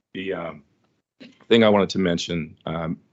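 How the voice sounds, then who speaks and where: A man with an Oklahoma accent, monotone and flat in intonation, at a moderate pace. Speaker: airline fuel consortium environmental representative. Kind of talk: public meeting remarks. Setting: public commission meeting, also on video call. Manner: halting, many fillers.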